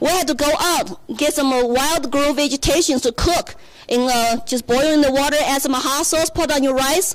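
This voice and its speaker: Amid noticeable background noise, a woman with a Chinese accent speaks at a moderate pace in a high voice with lively intonation. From China. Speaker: political candidate. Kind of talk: speech. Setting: stage with audience.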